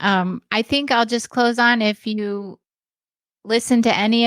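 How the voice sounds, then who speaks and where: In a very clean recording with a silent background, a woman with an American accent speaks at a moderate pace, the sound dry and close with no echo. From US West Coast. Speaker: retired criminal profiler, podcaster. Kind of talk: live podcast interview. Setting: live stream with chat. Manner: disfluent, uses fillers.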